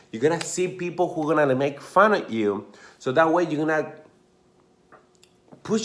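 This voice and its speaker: A man with an Argentine accent at a fairly high pitch, moderate in pace, with ordinary pitch variation. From Argentina, Mendoza. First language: Spanish. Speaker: dancer and motivational vlogger. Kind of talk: motivational talk to camera. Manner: casual, filler-heavy.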